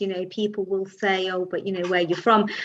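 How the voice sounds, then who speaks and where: A woman's medium-pitched voice in a London accent. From London, England. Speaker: podcast host. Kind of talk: interview conversation.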